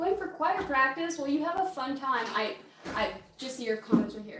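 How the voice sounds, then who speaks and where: With noticeable background noise and audible room echo, a woman speaks at a high pitch with lively intonation and big swings in loudness. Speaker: livestreamer. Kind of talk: casual live-stream cooking chat. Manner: fast.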